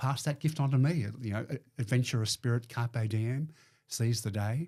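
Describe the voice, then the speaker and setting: Over a very clean, silent background, a man with an Australian accent talks at a moderate pace and medium pitch, his dark, mellow tone somewhat breathy and his pitch varying in an ordinary way. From Melbourne, Australia. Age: 60s. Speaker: business owner. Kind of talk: casual chat. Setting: studio.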